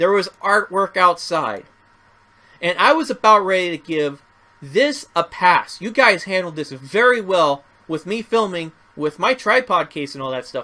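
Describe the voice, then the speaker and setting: In a raised, projected voice, a man speaks at a high pitch with a bright, sharp, animated tone and very wide pitch swings. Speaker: first amendment auditor. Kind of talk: vlog commentary. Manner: loud.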